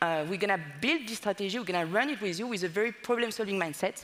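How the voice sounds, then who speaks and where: A woman with a French accent and lively intonation. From France. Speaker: data consultancy partner. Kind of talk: conference presentation. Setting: stage with audience.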